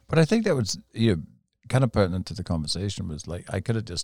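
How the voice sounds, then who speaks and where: A man talks at a very fast pace in a somewhat breathy voice, recorded very cleanly against a silent background with a dry, close sound and no echo. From England. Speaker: motorcycle storyteller. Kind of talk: casual chat. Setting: studio.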